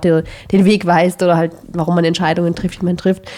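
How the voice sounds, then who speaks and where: At a fairly quick pace, a woman talks in a fairly low pitch with monotone, flat intonation. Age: 30s. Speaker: podcast co-host. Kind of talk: casual chat.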